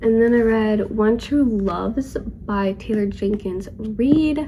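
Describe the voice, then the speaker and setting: Fairly high female voice at a very slow pace, fairly even in intonation, with audible room echo. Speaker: book vlogger. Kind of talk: casual chat. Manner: casual, filler-heavy.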